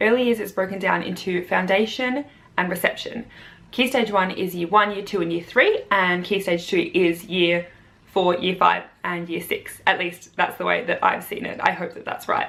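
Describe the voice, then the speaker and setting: A woman with an Australian accent speaks in fairly even intonation. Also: medium pitch for a woman, moderate pace. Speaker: primary school teacher. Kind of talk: vlog, casual talk to camera.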